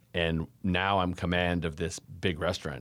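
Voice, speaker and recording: A man speaks at a moderate pace with a very deep, low pitch, captured in a very clean recording against a silent background. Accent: Californian. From Davis, California. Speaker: frozen yogurt shop owner. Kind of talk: interview conversation.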